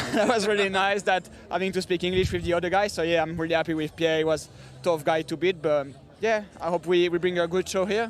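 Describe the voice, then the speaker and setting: A man with a French accent talks at a very fast pace in a high pitch with fairly even intonation, over noticeable background noise. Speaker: triathlete. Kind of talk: post-race interview.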